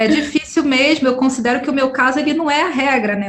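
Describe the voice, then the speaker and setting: A woman talks at a fairly quick pace amid audible room echo and noticeable background noise. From Brazil, Rio de Janeiro suburbs. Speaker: podcaster and researcher. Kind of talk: interview conversation.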